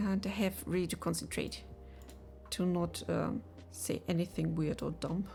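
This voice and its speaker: With a non-native accent, a woman talks at a moderate pace and very even loudness, leaving long, frequent pauses. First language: not English. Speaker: game developer streamer. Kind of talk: live dev stream chat. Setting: live stream. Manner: halting, many fillers.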